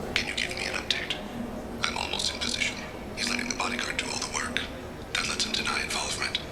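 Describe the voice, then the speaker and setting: A man in a put-on character voice, talking at a very fast pace. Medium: machinima. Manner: calm, measured, quiet.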